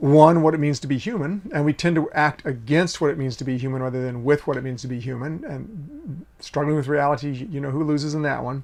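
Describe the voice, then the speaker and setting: This man talks at a fairly quick pace. His voice is fairly high-pitched, with ordinary pitch variation. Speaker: leadership consultant. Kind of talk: video lesson. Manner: animated.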